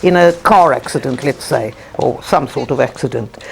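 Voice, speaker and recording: Noticeable noise sits behind a woman's voice. Her pitch is medium, and it swings very widely. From South Africa. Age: 80s+. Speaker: socialist activist. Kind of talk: documentary interview. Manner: halting.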